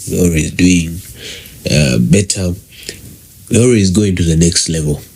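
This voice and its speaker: Noticeable background noise sits behind a man speaking with a very deep, low pitch. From Uganda. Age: 20s. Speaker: podcast host. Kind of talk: solo podcast monologue. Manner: slow.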